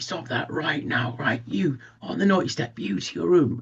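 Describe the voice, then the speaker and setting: A man puts on a character voice at a medium pitch and moderate pace. His pitch swings very widely. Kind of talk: commanding. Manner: stern, disciplinarian.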